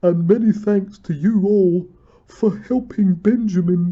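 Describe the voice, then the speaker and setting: In a put-on character voice, the speaker uses a middle pitch and a fairly slow pace. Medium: read story. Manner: mild, earnest.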